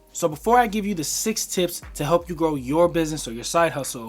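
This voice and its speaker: There is noticeable background noise. The intonation is lively. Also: man. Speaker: small business owner and entrepreneur vlogger. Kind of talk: casual talking-head tutorial. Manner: fast; casual, filler-heavy.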